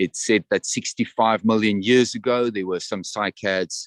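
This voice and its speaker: With a South African accent, a man talks in a dry, close sound that has no echo. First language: Afrikaans. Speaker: tour guide. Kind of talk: guided tour commentary. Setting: outdoors, walking in a botanical garden.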